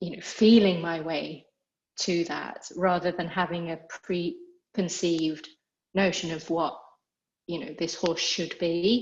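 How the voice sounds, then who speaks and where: A woman speaks at a fairly slow pace with a British accent and fairly even intonation. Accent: British accent, noticeable to Americans. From England. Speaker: equine therapy institute founder. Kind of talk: interview. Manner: conversational, with filler words.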